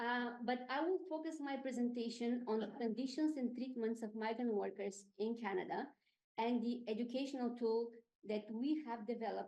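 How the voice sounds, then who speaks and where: Her voice has a dark, mellow tone and a fairly high pitch. The woman's pitch variation is ordinary. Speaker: program manager, social justice ministry. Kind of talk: presentation. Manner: fast.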